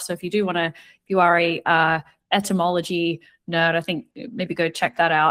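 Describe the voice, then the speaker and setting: A woman with an Australian accent speaks at a fairly quick pace and a medium pitch, in a dry, close sound with no echo on a very clean recording with a silent background. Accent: Australian, similar to New Zealand. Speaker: retail media analyst. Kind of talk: podcast interview.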